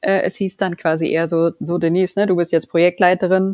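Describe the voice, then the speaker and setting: This woman has an ordinary speaking voice, fairly low in pitch, at a moderate pace. The sound is dry and close, with no echo. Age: 40s. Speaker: project manager and scrum master. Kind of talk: casual interview.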